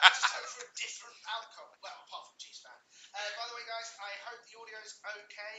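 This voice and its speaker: A man speaks very fast with a British accent. The room echo is audible. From England. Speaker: sports podcast host. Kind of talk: casual chat. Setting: live stream, in person. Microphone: separate mic, possible echo, too loud.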